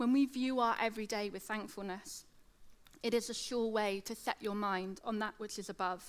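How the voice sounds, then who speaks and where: A woman with a British accent speaks at a moderate pace with fairly even intonation. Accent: British, slight lateral lisp. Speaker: teacher giving a church talk. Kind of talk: sermon. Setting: church with audience.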